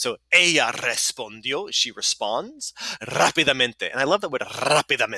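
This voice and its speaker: Here a man speaks at a moderate pace in an animated, bright, sharp tone. The sound is dry and close, with no echo. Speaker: Spanish teacher. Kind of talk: tutorial.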